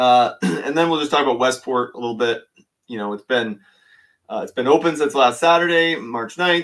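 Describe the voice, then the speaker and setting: This man speaks at a fairly quick pace against a quiet background. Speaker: fishing channel host. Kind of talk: live stream commentary. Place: home room.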